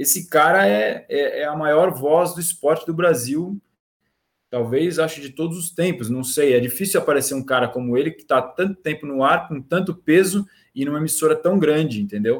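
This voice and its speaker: Delivered at a moderate pace in a plain, everyday voice, the speech shows ordinary pitch variation and big swings in loudness. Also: man. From Brazil, Santos. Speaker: sports journalist. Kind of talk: casual chat. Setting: live stream.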